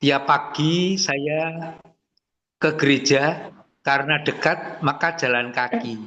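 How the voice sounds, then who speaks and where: A man speaks at a very slow pace, his pitch fairly high for a man. His tone is bright and sharp, with fairly even intonation. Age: 70s. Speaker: webinar participant, retired teacher. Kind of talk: casual webinar Q&A.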